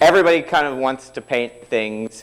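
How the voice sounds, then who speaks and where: A man's lively intonation carries through as he talks at a moderate pace. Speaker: tech conference speaker. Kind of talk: technical talk. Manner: informal.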